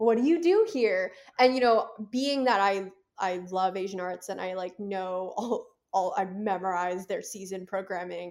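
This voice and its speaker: A woman with a normal speaking voice and medium pitch talks at a moderate pace with ordinary pitch variation in a very clean recording with a silent background. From US, Philadelphia suburbs. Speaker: film festival director. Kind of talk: casual interview chat.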